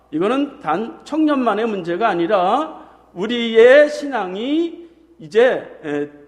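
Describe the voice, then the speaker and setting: Very slowly and over noticeable background noise, a man speaks at an extremely high pitch with very wide pitch swings. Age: 50s. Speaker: pastor. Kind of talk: sermon.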